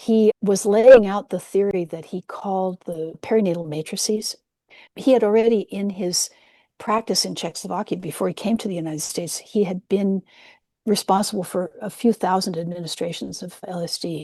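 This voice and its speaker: In a West Coast accent, a woman with a dark, mellow tone speaks at medium pitch and a moderate pace with fairly even intonation, in a dry, close sound with no echo and a quiet background. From US West Coast, San Francisco Peninsula. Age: 70s. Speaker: nurse-midwife and psychedelic historian. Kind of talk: interview.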